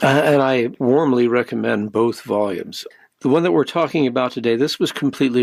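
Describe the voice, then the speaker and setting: With an ordinary speaking voice, a man talks at medium pitch with ordinary pitch variation. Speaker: radio host. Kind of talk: radio interview.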